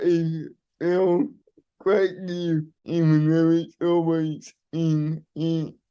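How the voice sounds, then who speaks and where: At a very slow pace, a man speaks in a fairly high voice with a dark, mellow tone and flat, monotone intonation. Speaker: barrister. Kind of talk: interview.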